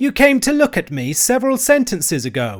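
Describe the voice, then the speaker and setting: A man puts on a character voice pitched extremely high. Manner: cross, testy.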